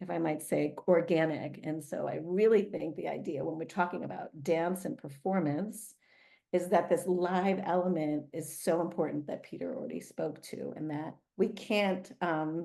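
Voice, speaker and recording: Using an American accent, a woman with a fairly low, dark, mellow voice and vocal fry talks at a moderate pace with ordinary pitch variation. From United States. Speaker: dance artist and professor. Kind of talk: interview. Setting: video call. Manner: halting, many fillers.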